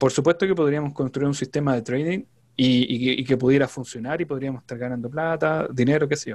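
Quiet background, ordinary pitch variation, and a man speaking. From Chile. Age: 30s. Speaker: trader; presenter. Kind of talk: interview. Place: home room. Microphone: video call.

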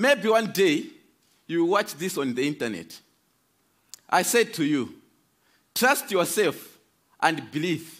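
Against a quiet background, a man with a Malawian accent talks in a high pitch at a very slow pace, leaving long, frequent pauses. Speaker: speaker giving a talk. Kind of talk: prepared talk with storytelling. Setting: stage with audience. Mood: earnest, hopeful. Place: stage. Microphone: headset.

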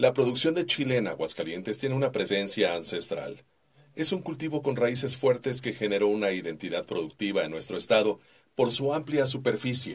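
A man's vocal fry and lively intonation at a moderate pace. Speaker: voice-over artist. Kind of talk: corporate narration. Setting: studio.

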